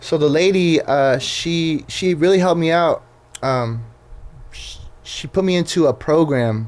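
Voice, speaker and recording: Speaking in a Southern California accent, a man goes at a fairly slow pace. His pitch is fairly high, with ordinary pitch variation. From Southern California (Riverside). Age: 20s. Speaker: Instagram page creator, former truck driver. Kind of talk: casual podcast interview. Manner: casual, filler-heavy.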